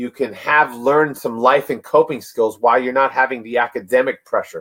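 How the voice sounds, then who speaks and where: A man speaks at a moderate pace with an animated tone and ordinary pitch variation. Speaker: webinar presenter on student stress. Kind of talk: webinar presentation.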